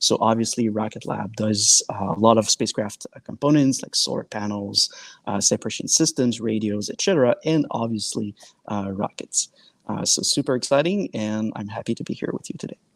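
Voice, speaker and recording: Speaking at a fairly quick pace with a French-Canadian accent, a man uses a medium pitch and ordinary pitch variation, the sound dry and close with no echo. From Quebec. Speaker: sales engineer. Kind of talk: panel discussion. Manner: hesitant, many fillers.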